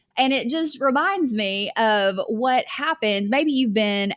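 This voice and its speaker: In a Southern US accent, a woman speaks on a very clean recording with a silent background. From US South. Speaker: online business coach. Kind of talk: podcast monologue. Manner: conversational.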